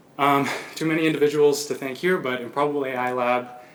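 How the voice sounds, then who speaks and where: A man talks at a fairly quick pace, with room echo audible. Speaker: PhD candidate. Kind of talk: thesis defense presentation. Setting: lecture room with audience. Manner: fast.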